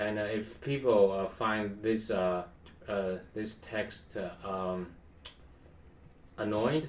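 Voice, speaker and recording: A man with a non-native accent speaks at a very slow pace, with long, frequent pauses. His pitch is fairly low and his intonation fairly even. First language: not English. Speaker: tech tutorial youtuber. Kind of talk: tutorial. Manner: halting, many fillers. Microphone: poor quality webcam.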